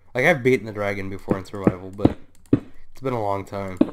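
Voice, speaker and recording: A man speaks quietly at a fairly quick pace in a fairly low voice, his intonation fairly even, with noticeable background noise behind him. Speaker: gaming YouTuber. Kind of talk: gameplay commentary. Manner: hesitant, many fillers; often quiet.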